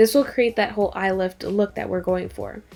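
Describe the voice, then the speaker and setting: The recording is very clean with a silent background as a woman rattles off her words at a very fast pace. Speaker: beauty vlogger. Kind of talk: makeup tutorial. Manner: casual, filler-heavy.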